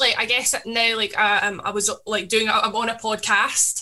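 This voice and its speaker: A woman speaks at a moderate pace with a fairly high pitch. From Scotland, Paisley. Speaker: DJ and social media creator. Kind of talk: casual chat.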